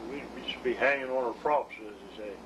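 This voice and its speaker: With an American accent, a man talks at a moderate pace. Noticeable background noise is present. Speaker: war veteran. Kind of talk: interview answer.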